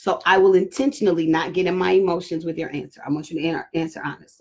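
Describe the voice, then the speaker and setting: A woman talks at a very fast pace. Her pitch is fairly low, with ordinary variation. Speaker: pastor and mother hosting talk with daughters. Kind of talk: casual family discussion on live stream. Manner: loud, projecting voice.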